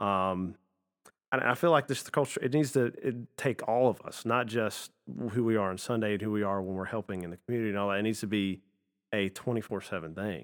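On a very clean recording with a silent background, a man speaks at a fairly quick pace in an unremarkable speaking voice, his pitch fairly low with ordinary variation. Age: 20s. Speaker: church youth volunteer. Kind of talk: casual chat.

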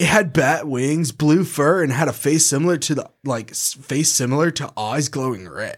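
An ordinary speaking voice keeps a moderate pace and ordinary pitch variation in a very clean recording with a silent background. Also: man, fairly high pitch for a man. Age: 20s. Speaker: podcast host. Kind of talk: casual chat, reading stories aloud.

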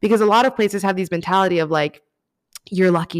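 The speaker has an American accent and an animated tone. The sound is dry and close, with no echo. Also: woman. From Miami, Florida. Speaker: writer and podcast host. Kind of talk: casual chat.

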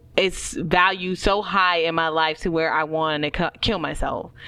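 A woman's bright, sharp voice, pitched fairly low. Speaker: podcast co-host. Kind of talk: casual chat. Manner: animated.

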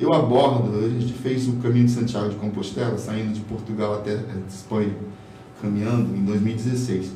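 A man speaks at a medium pitch and a fairly quick pace, his intonation fairly even. The room echo is audible, and background noise is noticeable. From Boa Vista, Roraima, northern Brazil. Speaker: comic artist. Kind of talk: casual interview. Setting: studio.

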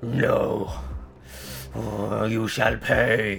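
A man growls in a put-on character voice over clear background noise. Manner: angry, threatening.

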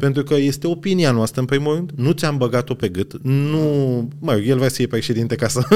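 This man speaks at a fairly high pitch with ordinary pitch variation and very even loudness, over noticeable background noise. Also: moderate pace. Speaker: podcast host. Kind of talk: casual chat. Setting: restaurant.

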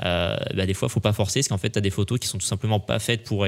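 A man speaks in a plain, everyday voice, fairly low in pitch, with fairly even intonation. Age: 20s. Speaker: photographer. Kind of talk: casual chat. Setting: studio.

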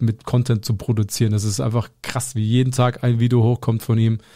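Somewhat breathy with a dark, mellow tone, a man speaks at a medium pitch on a very clean recording with a silent background. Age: 20s. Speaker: podcast co-host and content creator. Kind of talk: casual chat.

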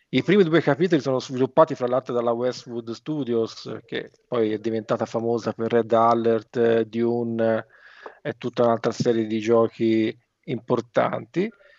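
A man talks in a plain, everyday voice at a medium pitch, fairly slowly and with fairly even intonation. The recording is dry and close with no echo. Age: 50s. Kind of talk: casual chat.

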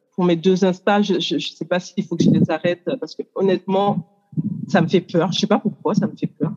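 At a moderate pace and medium pitch, a woman speaks with fairly even intonation, the sound dry and close with no echo. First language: English (speaking French). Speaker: coach, workshop participant. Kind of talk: group coaching exchange.

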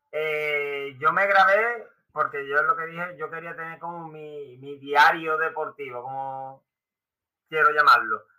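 Speaking fairly slowly with an Andalusian accent, a man with a fairly high pitch swings widely in loudness. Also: ordinary pitch variation. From Seville, Spain. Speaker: amateur runner and YouTuber. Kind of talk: casual chat.

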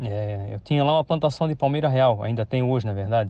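Here a man talks at a fairly quick pace. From Santa Catarina, Brazil (São Pedro de Alcântara, Greater Florianópolis). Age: 50s. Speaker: farmer. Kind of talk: interview. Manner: halting, many repetitions and fillers.

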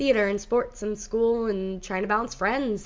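Here is an unremarkable speaking voice. Its pitch varies in an ordinary way. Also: woman. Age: 20s. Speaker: podcast host. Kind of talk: casual chat with prayer and testimony.

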